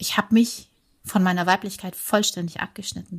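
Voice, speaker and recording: A woman's medium-pitched, somewhat breathy voice with fairly even intonation, on a very clean recording with a silent background. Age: 40s. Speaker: former airline pilot and yoga teacher. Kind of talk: casual interview chat. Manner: halting, with repetitions.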